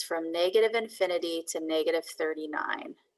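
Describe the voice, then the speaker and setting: A woman has a normal speaking voice, medium in pitch, and talks at a fairly quick pace with lively intonation. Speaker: math teacher. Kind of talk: lecture.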